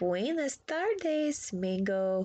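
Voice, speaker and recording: Using a put-on character voice, a woman speaks at a fairly high pitch with very wide pitch swings. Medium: read story.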